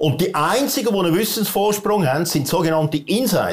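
Using very wide pitch swings, a man talks at a moderate pace. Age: 60s. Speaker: entrepreneur and author. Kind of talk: interview. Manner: halting, many fillers.

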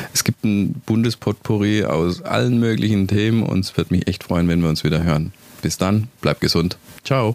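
With lively intonation and very even loudness, a man speaks at a moderate pace in a fairly low voice, the sound dry and close with no echo. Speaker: podcast host. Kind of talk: casual monologue.

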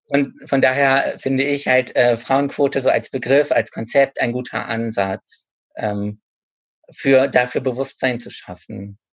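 A man at medium pitch, with fairly even intonation, a fairly slow pace, and an ordinary speaking voice. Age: 30s. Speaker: author and bookseller. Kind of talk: casual interview.

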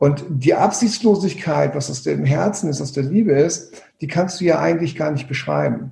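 A man talks in a normal speaking voice, pitched fairly high. His speed is moderate and his pitch varies in an ordinary way. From Hamburg, northern Germany. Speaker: coach and trainer. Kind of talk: podcast interview.

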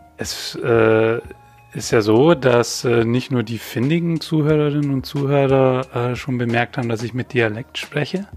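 With a Bavarian accent, a man speaks at a fairly slow pace and medium pitch, with ordinary pitch variation and noticeable background noise. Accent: noticeable Bavarian-tinged speech. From Bavaria, Upper Palatinate (Weiden). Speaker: trainee journalist. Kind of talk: casual chat. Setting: studio.

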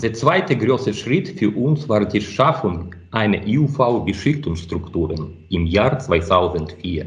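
Somewhat breathy and fairly low-pitched, a man speaks very slowly with very wide pitch swings in a room with audible echo. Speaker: optics researcher. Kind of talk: interview. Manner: halting.

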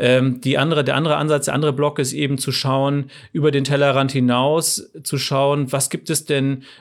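On a very clean recording with a silent background, a man speaks at a moderate pace with a fairly high pitch and monotone, flat intonation. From northern Germany, rural. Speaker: entrepreneur. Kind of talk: interview. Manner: frequent filler sounds (ähm).

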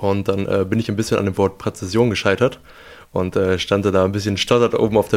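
A man's fairly low voice moves at a fairly quick pace. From western Germany, Lower Rhine (Ruhr-born). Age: young. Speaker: handball goalkeeper. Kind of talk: casual interview. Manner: hesitant with frequent fillers.

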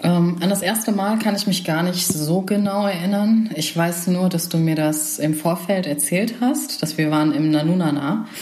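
With noticeable background noise and audible room echo, a woman talks at a moderate pace with hardly any pauses, very even loudness, ordinary pitch variation and a fairly low pitch. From Germany, Remscheid (North Rhine-Westphalia). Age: 30s. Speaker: political science graduate. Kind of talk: casual chat. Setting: at a dining table at home.

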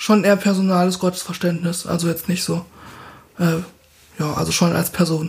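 Amid noticeable background noise, a woman with a fairly low pitch speaks in a monotone, flat way at a moderate pace, leaving long, frequent pauses. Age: 20s. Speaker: master's student. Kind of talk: casual interview.

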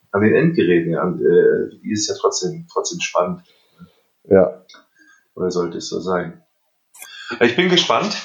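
A man speaks at a moderate pace. He leaves long pauses, and they come often. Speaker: podcast host. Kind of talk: casual chat. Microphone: recorded on phones, poor sound.

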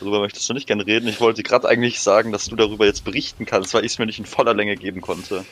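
Very fast, monotone male speech at a medium pitch with flat intonation over noticeable background noise. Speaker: podcast co-host. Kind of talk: casual chat.

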